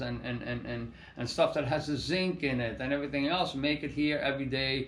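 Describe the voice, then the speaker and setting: With audible room echo, a man speaks at a moderate pace in a fairly high, somewhat breathy voice. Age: 60s. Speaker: landscape contractor and organic soil business owner. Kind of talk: casual monologue to camera. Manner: halting, many repetitions and fillers.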